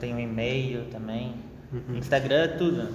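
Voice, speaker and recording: A man's medium-pitched voice, moderate in pace and fairly even in intonation, with noticeable background noise and audible room echo. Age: young. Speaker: marketing student. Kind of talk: casual interview.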